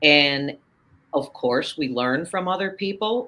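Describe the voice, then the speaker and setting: The pace is on the fairly slow side. Pitch moves with lively intonation. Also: woman. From US Midwest, Chicago. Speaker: author and confidence coach. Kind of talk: interview conversation. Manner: animated.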